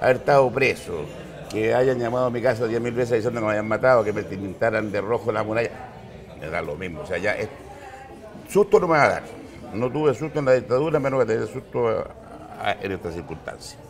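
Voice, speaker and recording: Over noticeable background noise, a man of medium pitch speaks at a fairly quick pace with lively intonation. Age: 60s. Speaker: former head of an accreditation agency. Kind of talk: interview.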